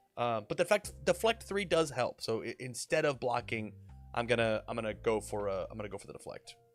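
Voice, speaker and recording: A man talks at a fairly quick pace with big swings in loudness. Music plays behind him. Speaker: card game streamer. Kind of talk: live gameplay stream.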